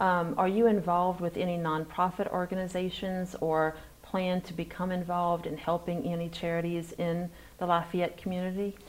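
In a fairly low voice, a woman talks at a moderate pace with monotone, flat intonation. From Louisiana, Marksville. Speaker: podcast interviewer. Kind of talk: interview.

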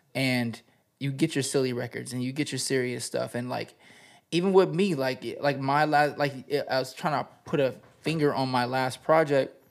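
A man with a plain, everyday voice and an American accent speaks at a moderate pace, medium pitch and fairly even intonation on a very clean recording with a silent background. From Southern California desert. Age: 30s. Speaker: rapper. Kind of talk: casual chat.

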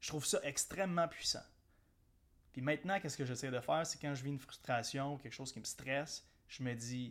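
A man with a Quebec accent speaks with ordinary pitch variation. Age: 30s. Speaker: entrepreneur podcast host. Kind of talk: solo motivational podcast monologue. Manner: casual, with hesitations and repeated words.

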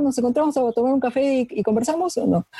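Dark, mellow tone marks this woman's somewhat breathy delivery. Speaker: biologist. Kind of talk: interview.

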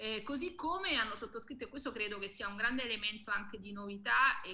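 A woman's plain, everyday voice, fairly high-pitched, with ordinary pitch variation. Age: 30s. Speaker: activist, association co-founder. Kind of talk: talk show interview.

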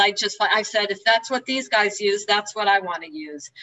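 Speaking with a New Jersey accent, a woman holds a medium pitch with ordinary pitch variation. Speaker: 12-step meeting speaker. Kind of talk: testimony. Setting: video call.

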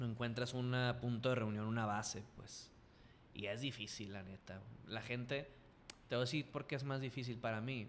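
In a Sinaloan accent, a man speaks at medium pitch and a moderate pace with fairly even intonation. Long, frequent pauses break up his speech, and audible room echo is present. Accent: Sinaloan Mexican Spanish. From Mexico, Culiacán, Sinaloa. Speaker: professional wrestler and radio host. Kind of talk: casual interview chat.

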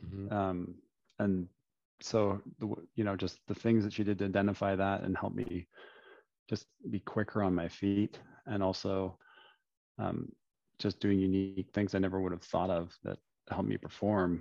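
A man with a Canadian accent, fairly low pitch and dark, mellow tone, monotone and flat in intonation, with long, frequent pauses, in a dry, close sound with no echo against a quiet background. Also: moderate pace. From London, Ontario, Canada. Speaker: former pro volleyball player and CEO. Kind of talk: casual interview.

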